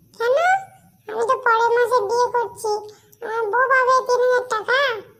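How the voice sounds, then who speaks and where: A cartoonish character voice, extremely high in pitch, delivers its lines at a moderate pace with flat, monotone intonation. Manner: gullible, excitable.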